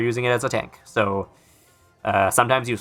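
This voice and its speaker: A man's medium pitch and fairly even intonation, with music in the background. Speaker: gaming video creator. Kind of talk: casual gaming commentary. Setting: recorded under a blanket at home. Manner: casual, sarcastic, hesitant with fillers.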